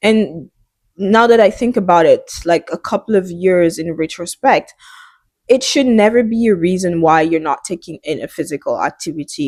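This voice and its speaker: A woman with a French accent talks at a moderate pace, her fairly low pitch carrying lively intonation in a dry, close sound with no echo. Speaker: fitness and wellness vlogger. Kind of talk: casual vlog monologue. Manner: halting.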